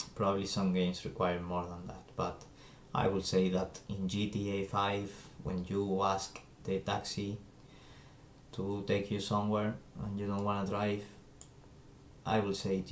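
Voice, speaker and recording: A man with a non-native accent and a fairly low pitch speaks in a monotone, flat way at a moderate pace, with long, frequent pauses and audible room echo. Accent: non-native English, trouble with Z sound. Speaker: game developer streamer. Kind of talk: live coding stream. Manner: hesitant, many fillers.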